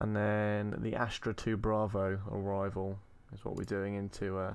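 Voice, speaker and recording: With a British accent, a man speaks at a moderate pace in a fairly low pitch, his intonation monotone and flat. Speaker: gaming streamer. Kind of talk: live game stream commentary.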